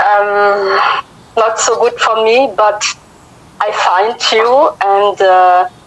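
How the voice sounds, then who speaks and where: In a French accent, a woman speaks at a very slow pace with fairly even intonation. Noticeable background noise runs underneath. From Africa. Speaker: viewer calling in. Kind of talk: casual chat. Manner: halting. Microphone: cutting out connection.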